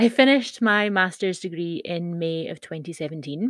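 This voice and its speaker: A woman's plain, everyday voice at a fairly low pitch and moderate pace, dry and close with no echo, over a quiet background. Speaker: blogger and podcaster. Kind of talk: reading a blog post aloud. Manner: casual, chatty, laughing.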